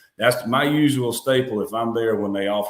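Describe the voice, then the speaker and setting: The speaker talks at a very fast pace with a South Carolina accent and fairly even intonation. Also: man. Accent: Southern US (South Carolina). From US South, South Carolina (Union County). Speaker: high school football head coach. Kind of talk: interview. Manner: loud.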